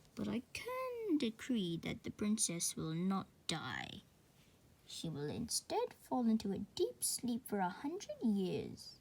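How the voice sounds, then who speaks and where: A woman puts on a character voice. Her pitch is fairly high and her pace fairly slow. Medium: read story.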